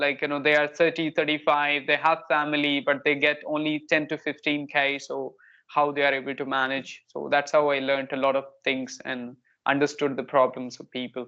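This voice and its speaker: The speaker talks at a moderate pace with a north Indian accent. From India, Kanpur, Uttar Pradesh. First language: Hindi. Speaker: English learner, spoken English tutor. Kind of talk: casual conversation practice.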